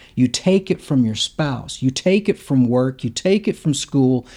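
A man with a Mississippi accent speaks fairly slowly with hardly any pauses, his fairly high voice dark and mellow in tone and lively in intonation. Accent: Southern US (Mississippi). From US South, Hattiesburg, Mississippi. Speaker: printmaker and artist. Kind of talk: interview.

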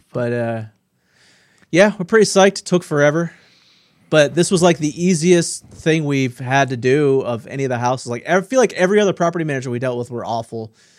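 In a very clean recording with a silent background, a man talks at a fairly quick pace. He has a normal speaking voice, fairly high in pitch, with lively intonation. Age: 40s. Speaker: podcast co-host. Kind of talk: casual chat.

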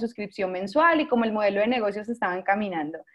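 The speaker is a woman with a fairly high pitch. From Colombia, San Andrés island (Caribbean). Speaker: startup founder and CEO. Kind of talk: interview.

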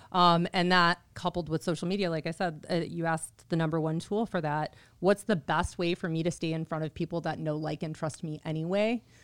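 A woman speaks in a normal speaking voice at a fairly low pitch and a fairly quick pace, with fairly even intonation and hardly any pauses, in a very clean recording with a silent background and a dry, close sound with no echo. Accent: American. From Chicago area, Illinois. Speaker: title business development manager. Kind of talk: interview. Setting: studio.

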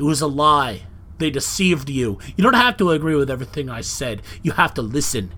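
With a normal speaking voice, a man talks at a fairly quick pace, his fairly high pitch carried by lively intonation. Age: 40s. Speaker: podcast host. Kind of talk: solo monologue podcast. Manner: casual, conversational with filler words.

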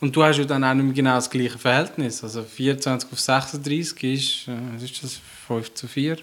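This man speaks in a Swiss accent at medium pitch and a moderate pace. His intonation stays monotone and flat. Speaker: podcast co-host. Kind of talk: casual chat.

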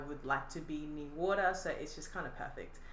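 A woman's very deep, low voice with an Australian accent, audible room echo and noticeable background noise. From Australia, Adelaide. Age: 20s. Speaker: artist. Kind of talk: casual chat.

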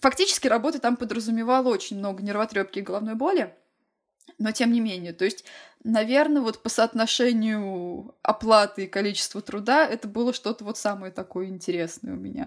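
A woman with a plain, everyday voice speaks at a fairly quick pace and fairly high pitch, with ordinary pitch variation. The recording is very clean, with a silent background. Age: 20s. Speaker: illustrator and podcast co-host. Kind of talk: casual chat.

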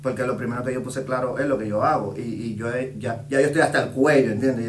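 A man talks at a very fast pace in a monotone, flat delivery. Audible room echo and noticeable background noise surround him. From Puerto Rico (born Dominican Republic). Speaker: urban music artist and DJ. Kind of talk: casual interview.

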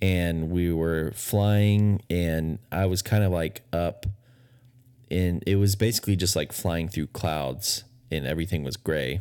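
A speaker with an American accent talks at a fairly slow pace in a dark, mellow tone. The recording is very clean, with a silent background. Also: man, very deep, low pitch for a man, ordinary pitch variation. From Texas. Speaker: podcast co-host. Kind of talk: casual chat. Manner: hesitant, many fillers.

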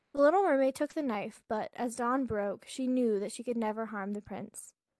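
In a normal speaking voice, a woman talks at a moderate pace and a fairly high pitch with fairly even intonation, in a dry, close sound with no echo. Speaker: podcast co-host. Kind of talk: bedtime story reading. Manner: soft, gentle, dreamy.

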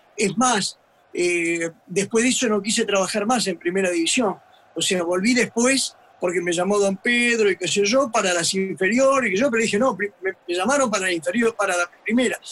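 Noticeable background noise sits behind a man with a high-pitched voice. He keeps a moderate pace, ordinary pitch variation, and very even loudness. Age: 70s. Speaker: retired football fitness coach. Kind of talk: casual chat. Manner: halting.

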